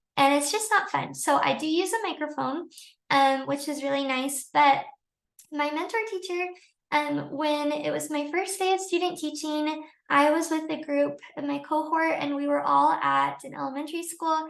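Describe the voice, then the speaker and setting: Her intonation fairly even, a woman talks at a high pitch. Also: moderate pace. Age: 20s. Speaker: teacher. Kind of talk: tutorial. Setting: livestream. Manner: soft-spoken.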